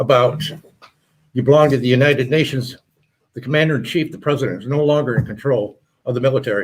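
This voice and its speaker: Talking at a very fast pace with long, frequent pauses, a man with a medium pitch sounds somewhat breathy and keeps his intonation fairly even. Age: 70s. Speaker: military veteran. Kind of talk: panel discussion. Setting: studio. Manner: halting.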